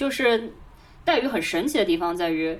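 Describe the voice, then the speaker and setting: A woman's voice rises and falls in very wide pitch swings. Noticeable background noise is present. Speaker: podcast co-host. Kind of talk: casual chat.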